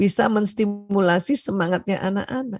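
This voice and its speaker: A moderate pace from a woman, medium in pitch, with a dark, mellow tone. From Indonesia, Bugis Makassar heritage, Palembang mother. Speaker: doctor and seminar speaker. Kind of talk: seminar lecture. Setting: online video seminar. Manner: loud, hard for her to speak softly; often laughs.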